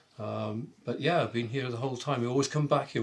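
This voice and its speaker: Speaking with a Welsh accent, a man goes at a very fast pace. He holds a medium pitch with fairly even intonation. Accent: Welsh (Swansea). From Wales, Swansea. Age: 70s. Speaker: long-time community resident. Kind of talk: casual interview. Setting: at home.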